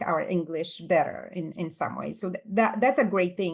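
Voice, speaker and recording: Against a quiet background, a woman with a non-native accent talks at a moderate pace and medium pitch, with ordinary pitch variation. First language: not English. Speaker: professor and author. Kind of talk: casual interview. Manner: halting, many fillers.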